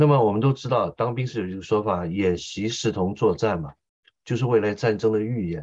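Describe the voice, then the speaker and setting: Speaking in a plain, everyday voice, a man has a fairly low pitch. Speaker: interpreter and military commentator. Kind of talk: political commentary interview.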